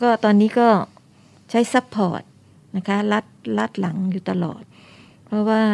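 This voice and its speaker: On a very clean, dry, close recording with no echo and a silent background, a woman speaks in a normal speaking voice at medium pitch with fairly even intonation. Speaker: retired school director. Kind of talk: radio interview.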